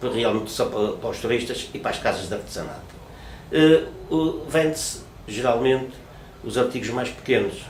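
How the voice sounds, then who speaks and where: Noticeable background noise and audible room echo surround a voice whose intonation stays fairly even. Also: man. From Portugal, Porto (Ribeira). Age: 60s. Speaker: retired craftsman. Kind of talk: interview. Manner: halting, many repetitions and fillers.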